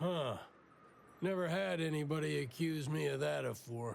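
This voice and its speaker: A man's put-on character voice, fairly high and drawling, at a moderate pace. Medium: video game. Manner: folksy, drawling.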